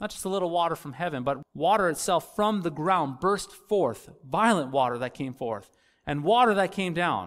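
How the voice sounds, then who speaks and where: High male pitch, lively intonation and a moderate pace, on a very clean recording with a silent background. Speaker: Lutheran pastor. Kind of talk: sermon.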